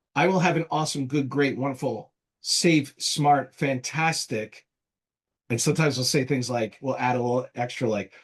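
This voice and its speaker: With a New Jersey accent, a man speaks at a moderate pace in a fairly high, somewhat breathy voice with ordinary pitch variation. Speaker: marketing agency founder. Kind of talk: casual interview.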